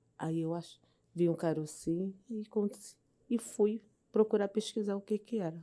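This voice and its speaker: Speaking fairly slowly, a woman has a tone that is dark and mellow. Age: 70s. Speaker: cancer survivor, patient. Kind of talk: interview testimony. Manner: halting.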